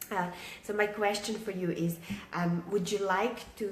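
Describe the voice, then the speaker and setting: Quiet, fairly slow speech comes in a monotone, flat delivery, with audible room echo and noticeable background noise. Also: woman. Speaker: online business coach. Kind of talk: live stream talk to viewers. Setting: at home, live video. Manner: quiet, keeping voice down; many filler words, halting.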